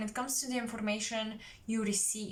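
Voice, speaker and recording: The speaker has a non-native accent, and audible room echo colors the recording. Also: woman. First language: not English. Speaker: tarot reader. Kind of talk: psychic tarot reading.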